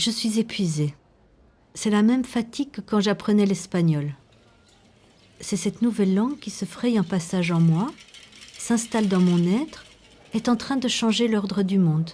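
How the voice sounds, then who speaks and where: Somewhat breathy and dark, mellow in tone, a woman speaks at a medium pitch and a fairly slow pace, with ordinary pitch variation and long, frequent pauses. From Belgium, Brussels. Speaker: documentary filmmaker. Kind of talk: documentary narration.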